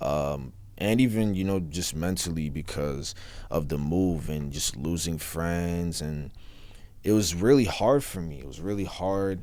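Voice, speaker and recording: In an American accent, a man with a very deep, low pitch and a dark, mellow tone speaks at a fairly slow pace with ordinary pitch variation, and room echo is audible. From US South. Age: 20s. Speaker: rapper. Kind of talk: interview.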